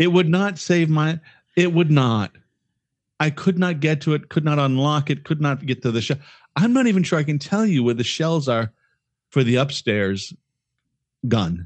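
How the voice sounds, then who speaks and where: A man's fairly high voice at a moderate pace, very even in loudness, with long, frequent pauses. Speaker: podcast co-host. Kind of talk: casual chat. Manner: giddy, laughs a lot, rambling.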